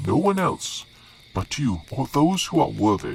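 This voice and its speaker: Clear music plays in the background as a man uses a put-on character voice at a fairly slow pace. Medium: actual play. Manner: respectful, dutiful.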